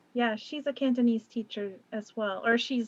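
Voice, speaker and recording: Her pitch is fairly high for a woman. She speaks at a moderate pace. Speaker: Japanese language teacher. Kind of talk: casual chat. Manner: loud.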